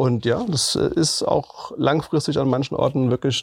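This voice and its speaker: Somewhat breathy, a man's voice holds fairly even intonation. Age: 40s. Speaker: municipal green spaces manager. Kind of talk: interview.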